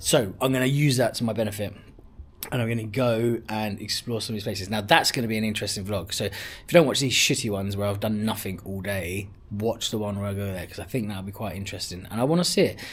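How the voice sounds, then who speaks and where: Here is a man with a London accent, speaking at a very fast pace and a fairly low pitch. His voice is somewhat breathy, with ordinary pitch variation. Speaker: travel vlogger. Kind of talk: casual vlog talk to camera. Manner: repetitive, chatty.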